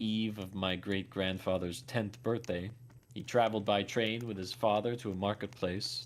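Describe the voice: The speaker is plain reading aloud with fairly even intonation.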